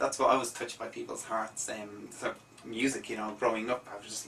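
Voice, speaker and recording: Noticeable noise in the background behind a man talking at a fairly quick clip. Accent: Irish. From Ireland, Dublin. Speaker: musician. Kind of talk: radio interview. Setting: radio studio.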